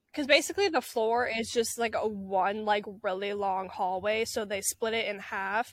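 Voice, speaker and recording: A woman talks at a moderate pace with fairly even intonation and a fairly high pitch. It is a normal speaking voice, captured in a very clean recording against a silent background. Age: young. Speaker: college student podcast co-host. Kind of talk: casual chat.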